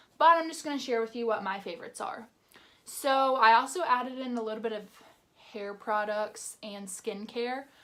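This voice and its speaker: Speaking at a moderate pace, a woman with a normal speaking voice and fairly high pitch shows ordinary pitch variation and big swings in loudness. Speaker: beauty YouTuber. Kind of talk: product review vlog.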